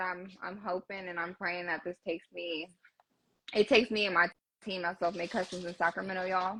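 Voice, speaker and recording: Speaking at a moderate pace, a woman with a Southern accent has a bright, sharp tone at a medium pitch. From California. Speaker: car builder. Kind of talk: casual chat.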